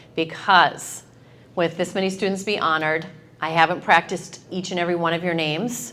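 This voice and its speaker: A woman's fairly low-pitched voice with a bright, sharp tone. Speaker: high school principal. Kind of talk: award ceremony speech. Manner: loud.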